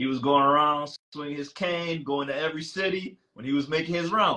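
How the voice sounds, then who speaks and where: Bright and sharp in tone, a man's fairly high voice shows ordinary pitch variation. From Caribbean. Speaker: holistic health host. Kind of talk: casual talk show chat. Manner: animated.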